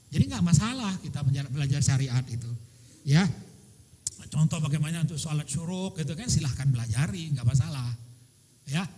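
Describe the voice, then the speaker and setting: A fairly high-pitched male voice, somewhat breathy, with a dark, mellow tone and a fairly quick pace. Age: 60s. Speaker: religious teacher answering questions at a seminar. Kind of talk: Q&A answer at religious seminar.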